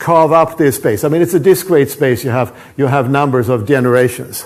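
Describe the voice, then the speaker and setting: Lively intonation marks a man's fairly high voice. His pace is fairly quick. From Sweden. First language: Swedish. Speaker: professor. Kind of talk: lecture. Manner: halting, many repetitions and false starts.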